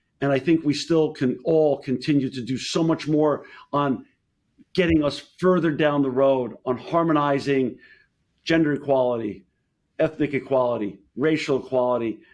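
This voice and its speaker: This man's voice is fairly high in pitch, with fairly even intonation and a moderate pace. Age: 60s. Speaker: entrepreneur and company CEO. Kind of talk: podcast interview. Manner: halting, with many fillers and restarts.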